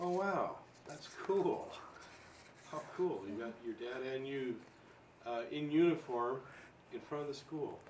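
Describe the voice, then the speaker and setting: Lively intonation at a fairly slow pace with long, frequent pauses over noticeable background noise. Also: man, fairly high pitch for a man. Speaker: local history interviewer. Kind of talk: oral history interview. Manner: casual, friendly.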